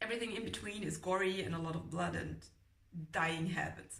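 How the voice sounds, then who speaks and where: There is vocal fry in this woman's voice. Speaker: book reviewer. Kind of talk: casual book review talk to camera. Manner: rambling, chatty.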